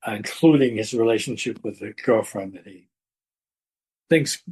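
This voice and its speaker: Against a quiet background, a man talks at a moderate pace in a dark, mellow tone that is somewhat breathy. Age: 80s+. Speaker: author and retired educator. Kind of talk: interview conversation. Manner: halting, with fillers and repetitions.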